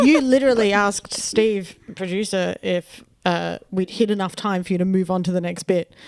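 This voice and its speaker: A woman speaks at a moderate pace with an Australian accent. Her pitch is medium, with ordinary variation. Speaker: comedian. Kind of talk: casual chat.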